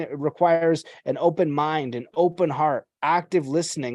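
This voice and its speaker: A man talks in an ordinary speaking voice, fairly high-pitched with ordinary pitch variation. The background is quiet. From Canada. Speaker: podcast host. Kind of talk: casual interview chat.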